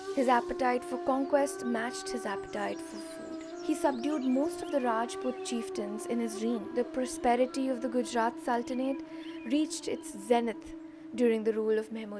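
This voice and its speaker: Over music in the background, the speech moves at a moderate pace with lively intonation. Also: woman, high pitch for a woman. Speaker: narrator. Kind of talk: documentary-style myth narration.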